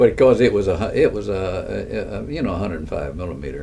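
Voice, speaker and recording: The speech comes at a very fast pace with a Texan accent. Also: man. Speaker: war veteran. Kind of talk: interview answer. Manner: hesitant, halting.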